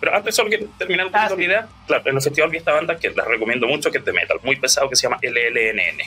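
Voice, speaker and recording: With music in the background, someone talks at a very fast pace in a Chilean accent, with hardly any pauses. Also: man. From Chile, Ñuble region (Bulnes, Chillán). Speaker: musician. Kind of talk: interview.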